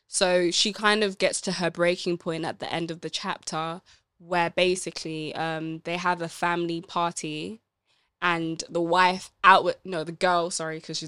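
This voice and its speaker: A woman's fairly low, bright, sharp voice in a monotone, flat intonation, at a moderate pace, on a very clean recording with a silent background. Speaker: book club podcast co-host. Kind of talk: casual chat discussing a book.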